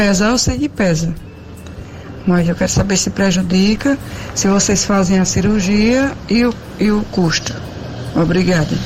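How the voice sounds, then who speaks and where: Over music in the background, a woman of medium pitch speaks fairly slowly with long, frequent pauses, ordinary pitch variation and very even loudness. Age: 60s. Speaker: listener sending an audio question. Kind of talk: recorded voice message.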